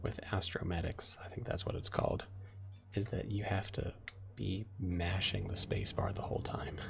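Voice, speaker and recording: A man whispers at a moderate pace amid noticeable background noise. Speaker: game streamer. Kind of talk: casual live-stream chat. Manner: quiet, soft-spoken; halting, many fillers and repeats.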